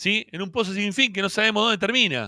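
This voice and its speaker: A man's raised, projected voice, high-pitched, bright and sharp, animated, at a moderate pace, dry with no echo against a quiet background. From Argentina. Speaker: football fan podcast host; show host. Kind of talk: post-match fan reaction show. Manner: animated, heated. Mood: frustrated, critical. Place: home room. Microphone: handheld.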